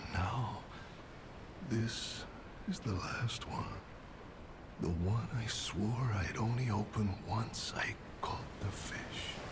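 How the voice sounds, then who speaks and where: Whispering in a put-on character voice, a man speaks at a very slow pace over loud background noise. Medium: game stream. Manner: gruff, world-weary.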